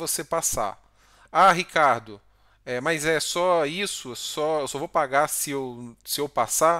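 Speaking at a very slow pace, a man has a bright, sharp tone against a quiet background. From Brazil. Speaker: Brazilian doctor and YouTuber; YouTuber. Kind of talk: tutorial. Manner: casual, frequent filler words. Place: home room. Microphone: headset.

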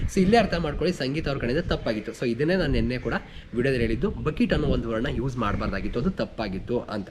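A man's medium-pitched voice carries lively intonation while noticeable background noise runs beneath it. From rural Karnataka village. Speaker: YouTube reality show reviewer. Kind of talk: episode review monologue.

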